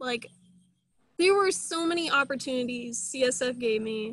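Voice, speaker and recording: This woman has an American accent and a high pitch. She talks at a moderate pace with ordinary pitch variation. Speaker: recent college graduate, alumna. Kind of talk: casual interview chat.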